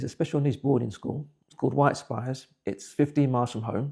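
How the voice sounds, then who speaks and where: A man's somewhat breathy voice at a very fast pace with ordinary pitch variation. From England (Buckinghamshire), West Indian parents. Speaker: interviewee telling life story. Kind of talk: personal testimony. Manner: halting, repeats words.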